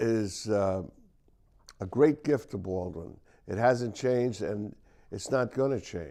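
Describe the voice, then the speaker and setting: Speaking very slowly with long, frequent pauses, a man uses a dark, mellow, fairly low voice with an American accent. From Long Island, New York. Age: 70s. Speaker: local community figure. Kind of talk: interview. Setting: studio. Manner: halting.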